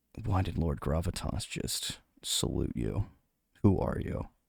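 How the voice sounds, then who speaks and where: Putting on a character voice, a man speaks fairly slowly in a very deep, low register with very wide pitch swings. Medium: actual play. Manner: blunt, suspicious.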